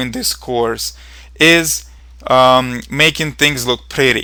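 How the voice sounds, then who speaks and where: In a very clean recording with a silent background, a man with a Ukrainian accent speaks at a medium pitch in a bright, sharp tone. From Ukraine. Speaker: programming instructor. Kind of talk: tutorial. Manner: hesitant, with fillers.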